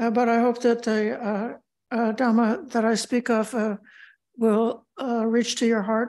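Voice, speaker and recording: The intonation stays monotone and flat. The background is quiet. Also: woman, fairly high pitch for a woman. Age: old. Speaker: Buddhist Dhamma teacher. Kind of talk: spiritual talk. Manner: hesitant, many filler sounds.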